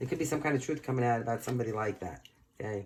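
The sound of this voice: A man talks at a fast pace with lively intonation.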